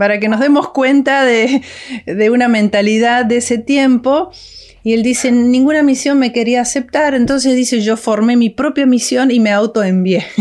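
A woman with a high pitch speaks at a moderate pace, with ordinary pitch variation and very even loudness. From Argentina, Córdoba. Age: 60s. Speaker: missionary's daughter, ministry worker. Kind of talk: interview.

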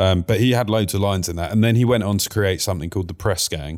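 In a very clean recording over a silent background, a man speaks with a Cockney accent. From East End of London (Whitechapel). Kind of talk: casual chat.

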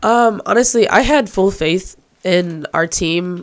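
A woman at a very slow pace, in a very clean recording with a silent background. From northern Michigan. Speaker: college student athlete and PA announcer. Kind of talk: casual interview.

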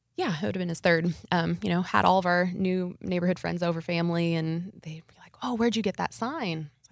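A woman with an American accent talks at a fairly quick pace, hardly pausing, in an unremarkable speaking voice. Her pitch sits fairly low with ordinary variation, and her loudness swings widely. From US Midwest, Nebraska. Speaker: entrepreneur. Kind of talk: interview.

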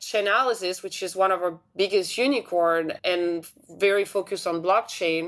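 In a French accent, a woman speaks at a moderate pace with a medium pitch and ordinary pitch variation, in a very clean recording with a silent background. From France. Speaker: tech investor, CEO of a startup accelerator. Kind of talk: interview.

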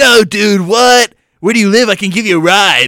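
A man puts on a character voice, pitched high, with ordinary pitch variation at a moderate pace. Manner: casual, bro-ish.

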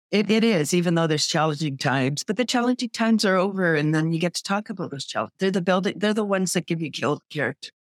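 Very fast speech with hardly any pauses, on a very clean recording with a silent background. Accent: Canadian. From Canada, Toronto. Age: 60s. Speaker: small business owner. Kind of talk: interview. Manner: animated.

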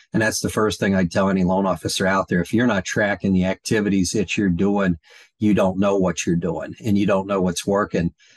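In a normal speaking voice, a man with a fairly low pitch talks at a fairly quick pace with fairly even intonation and very even loudness, the sound dry and close with no echo over a quiet background. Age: 60s. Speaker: mortgage industry coach. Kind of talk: podcast interview.

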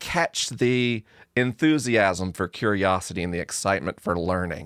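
Dry, close sound with no echo and a fairly slow pace. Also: man. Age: 40s. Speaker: science educator and podcaster. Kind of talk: casual interview conversation. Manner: articulate storyteller.

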